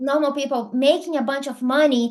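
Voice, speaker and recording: A woman speaks with a Brazilian accent. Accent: Brazilian, non-native English. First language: Portuguese. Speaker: affiliate marketing entrepreneur. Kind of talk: podcast interview. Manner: hesitant, many fillers.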